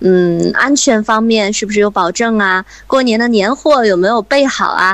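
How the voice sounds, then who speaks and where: A woman's ordinary speaking voice, medium in pitch, with ordinary pitch variation at a moderate pace. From Hebei, Shijiazhuang. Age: 30s. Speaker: radio host. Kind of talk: interview.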